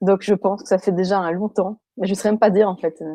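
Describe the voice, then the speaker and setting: Speaking at a fairly quick pace, a woman uses fairly even intonation and a dark, mellow tone, recorded with a dry, close sound and no echo. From Belgium. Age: 20s. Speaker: person with electrohypersensitivity. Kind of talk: testimony interview. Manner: hesitant, many fillers.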